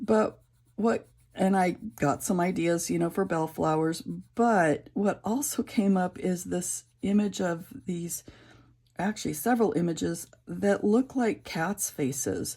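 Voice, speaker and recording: A woman with a fairly low pitch and a somewhat breathy voice talks at a fairly slow pace with lively intonation. The recording is very clean, with a silent background. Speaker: coloring YouTuber. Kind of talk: casual chat while coloring. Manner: halting, many fillers.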